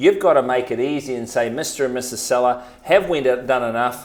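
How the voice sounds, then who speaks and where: Using ordinary pitch variation at a moderate pace, a man speaks in a medium pitch with a New Zealand accent. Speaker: real estate agent. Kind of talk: podcast talk, real estate tips.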